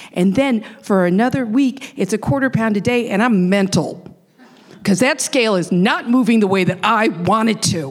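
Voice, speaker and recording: In a normal speaking voice with an American accent, a woman with a fairly high pitch talks at a moderate pace, her intonation lively and her loudness very even. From Rochester, New York. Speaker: storyteller. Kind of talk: live storytelling. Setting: stage with audience.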